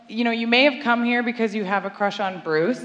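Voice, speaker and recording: A woman speaks over noticeable background noise. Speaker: TV show producer promoting the show. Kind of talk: welcome speech at live event. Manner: loud.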